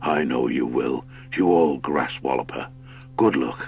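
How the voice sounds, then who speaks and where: At a moderate pace, a put-on character voice comes through clear background noise. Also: man. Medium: read story. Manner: grave, commanding.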